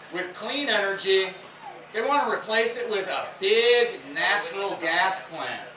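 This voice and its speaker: With noticeable background noise behind him, a high-pitched man speaks at a fairly slow pace in a raised, projected voice with ordinary pitch variation. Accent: Tennessee. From Memphis, Tennessee. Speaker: environmental conservation coordinator. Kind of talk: rally speech. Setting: outdoors. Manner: low-key.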